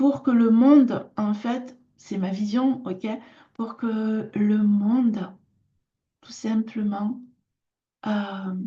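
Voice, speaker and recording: A woman's voice is dark, mellow and somewhat breathy, with a fairly high pitch. She speaks at a very slow pace with long, frequent pauses. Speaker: artisan and lifestyle vlogger. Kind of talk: casual personal vlog talk. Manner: hesitant, many filler sounds.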